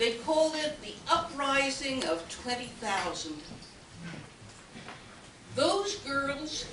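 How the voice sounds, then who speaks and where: A woman with a high pitch speaks at a very slow pace, with long, frequent pauses and very wide pitch swings. Noticeable background noise runs underneath. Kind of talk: historical talk.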